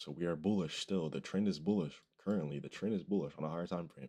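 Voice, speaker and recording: Against a quiet background, a man speaks very fast in a very deep, low voice with a dark, mellow tone and ordinary pitch variation. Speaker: beginner day trader vlogger. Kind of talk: casual screen-share tutorial. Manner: casual, halting with fillers.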